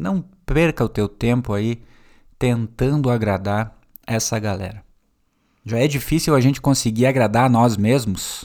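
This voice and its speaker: In a very clean recording with a silent background, a man of medium pitch talks at a fairly slow pace with ordinary pitch variation and long, frequent pauses. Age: 30s. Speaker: podcast host and teacher. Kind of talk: solo podcast monologue. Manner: casual and conversational.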